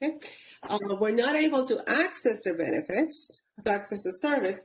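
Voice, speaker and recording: In a Puerto Rican accent, a woman speaks with lively intonation. Her pitch is fairly high. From Puerto Rico, Caguas. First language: Spanish. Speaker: public service leader, panelist. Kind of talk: webinar panel talk. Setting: webinar.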